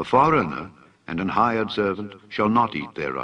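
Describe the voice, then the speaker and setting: A man's fairly low, bright, sharp voice with vocal fry, at a moderate pace. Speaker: scripture reader. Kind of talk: reading aloud from the Bible.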